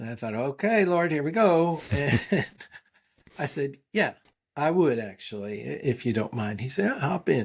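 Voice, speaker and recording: Very wide pitch swings run through a man's fairly high voice as he speaks at a moderate pace. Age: 60s. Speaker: father who hiked through hurricane to daughter's wedding. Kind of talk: storytelling interview. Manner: animated.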